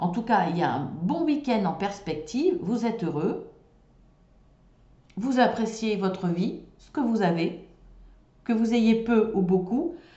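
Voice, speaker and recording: A woman with a fairly high pitch speaks at a very slow pace, leaving long, frequent pauses. Her pitch swings very widely and her loudness swings a lot, with audible room echo. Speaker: tarot card reader. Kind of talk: tarot reading. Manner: hesitant.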